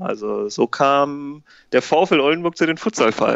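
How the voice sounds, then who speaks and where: A man with a plain, everyday voice, fairly high in pitch, with ordinary pitch variation. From northern Germany, Ammerland (Lower Saxony). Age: 20s. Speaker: amateur futsal club founder and coach. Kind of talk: podcast interview.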